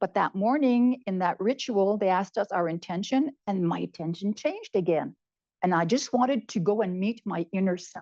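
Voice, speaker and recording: Speaking at a moderate pace, a woman with a medium pitch has a dark, mellow tone and vocal fry. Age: 70s. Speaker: retired nurse, cancer patient. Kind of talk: interview answer.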